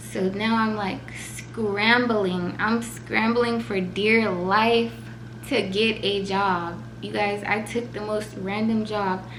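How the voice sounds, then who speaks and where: Amid noticeable background noise and audible room echo, a tearful voice moves at a very slow pace with lively intonation. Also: woman, medium pitch for a woman. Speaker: vlogger. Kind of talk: emotional personal vlog. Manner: shaky, tearful.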